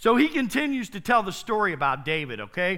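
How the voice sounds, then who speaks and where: A man's high, bright, sharp voice, raised and projected. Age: 50s. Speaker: pastor. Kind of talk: sermon.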